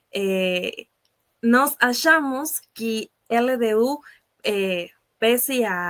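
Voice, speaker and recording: A woman's fairly high voice in an Ecuadorian accent, very slow, with lively intonation and long, frequent pauses. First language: Spanish (speaking Portuguese). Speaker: sports journalist. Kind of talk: casual chat. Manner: halting, many filler sounds.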